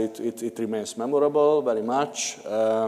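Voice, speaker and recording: A man with a Hungarian accent, medium pitch, monotone, flat intonation, a moderate pace, and noticeable background noise. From Hungary. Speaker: conference panelist, regional food project partner. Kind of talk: panel discussion. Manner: halting, many fillers.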